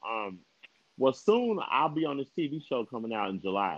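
A man talks with an American accent. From Kansas. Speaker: rapper. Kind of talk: casual chat. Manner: animated.

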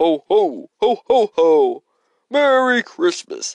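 A put-on character voice sits at a high pitch with very wide pitch swings. The delivery moves at a very slow pace.

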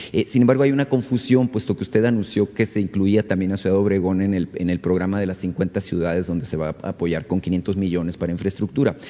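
Talking at a very fast pace with hardly any pauses, a man uses a fairly low pitch with ordinary pitch variation. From Mexico (Sonora). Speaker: radio journalist. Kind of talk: press conference question. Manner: halting.

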